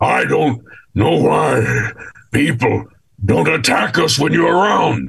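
A man's raspy, put-on character voice at a fairly slow pace, broken by long, frequent pauses. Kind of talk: quoted game line.

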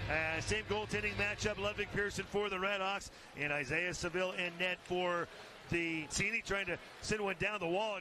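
Projecting a raised voice at a high pitch, a man keeps fairly even intonation, very even loudness and a moderate pace. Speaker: play-by-play announcer. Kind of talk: live commentary.

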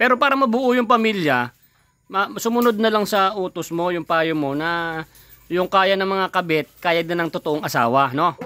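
This man's high-pitched voice has a bright, sharp tone and lively intonation at a moderate pace. The sound is dry with no echo. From Philippines. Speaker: vlogger interviewing a guest. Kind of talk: casual chat. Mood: teasing, friendly. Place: garden. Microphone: phone near.

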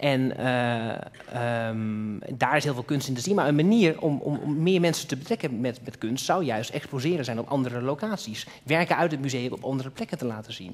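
A man talks in a normal speaking voice at medium pitch and a moderate pace, with ordinary pitch variation and hardly any pauses. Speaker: talk show host. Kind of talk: live talk show. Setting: stage with audience. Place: hall. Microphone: headset.

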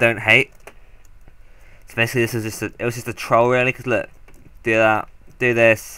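A man at medium pitch and moderate pace, with little pitch movement and a clear, smooth, bright, sharp tone

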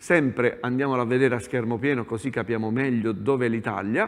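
A man speaks at a moderate pace with ordinary pitch variation. The background is quiet. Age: 50s. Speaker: meteorologist; TV presenter. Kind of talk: TV weather segment chat. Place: studio. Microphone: lapel.

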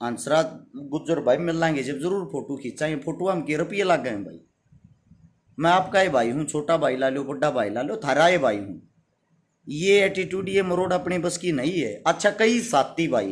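A man with a Haryanvi accent, fairly high-pitched, with vocal fry, lively intonation and a moderate pace. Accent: Haryanvi-accented Hindi. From Haryana, India. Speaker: social worker and YouTuber; YouTuber. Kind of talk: live stream address to followers. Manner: forceful, blunt delivery. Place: home room. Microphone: phone near.

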